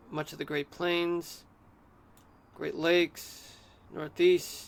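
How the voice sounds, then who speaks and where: A man speaks fairly slowly with a fairly high pitch. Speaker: streamer giving weather discussion. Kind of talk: live stream weather commentary. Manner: subdued, altered delivery.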